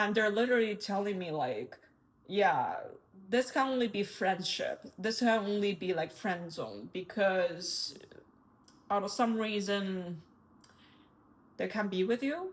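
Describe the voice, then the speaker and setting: Speaking with a non-native accent at a medium pitch, a woman moves at a fairly slow pace with long, frequent pauses and ordinary pitch variation. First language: not English. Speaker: tarot reader. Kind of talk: tarot reading.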